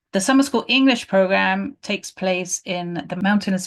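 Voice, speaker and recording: Against a quiet background, a woman with a British accent speaks with lively intonation. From UK. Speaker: volunteer program manager. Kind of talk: informational presentation. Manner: hesitant, many filler sounds.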